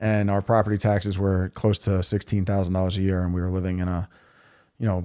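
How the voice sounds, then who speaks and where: In a very clean recording with a silent background, a man speaks very fast in a very deep, low voice, monotone and flat, with a dark, mellow tone. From New York City (Queens). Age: 40s. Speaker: local political candidate. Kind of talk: podcast interview.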